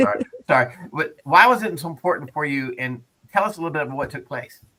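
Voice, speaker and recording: A man talks very fast in a bright, sharp tone. His pitch swings very widely and his loudness rises and falls sharply. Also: fairly high pitch for a man. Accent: Texan. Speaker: radio host. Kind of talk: casual chat.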